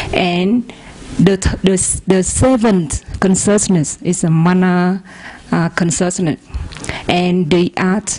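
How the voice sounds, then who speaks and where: Through noticeable background noise, a woman speaks very slowly in a fairly low voice. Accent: Vietnamese. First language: Vietnamese. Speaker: audience member asking a question. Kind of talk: question in a dhamma discussion. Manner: halting, hesitant.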